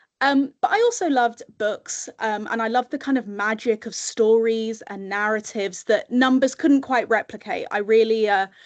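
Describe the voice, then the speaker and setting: The background is quiet. The speech keeps a moderate pace with ordinary pitch variation. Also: woman. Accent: British. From UK. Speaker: communications professional and webinar speaker. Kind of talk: webinar presentation.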